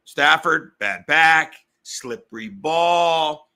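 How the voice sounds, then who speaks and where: A man speaks with a fairly high pitch and a bright, sharp, animated tone. Vocal fry runs through his voice. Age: 40s. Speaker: sports betting podcast host. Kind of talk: sports betting talk show. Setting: home garage studio. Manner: fast.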